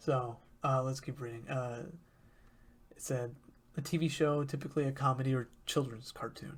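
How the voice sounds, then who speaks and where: A man speaks at a moderate pace with a fairly high pitch. His voice is somewhat breathy and his intonation monotone and flat. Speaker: YouTuber discussing creepypasta. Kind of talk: casual commentary reading from a web page. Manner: hesitant, many fillers.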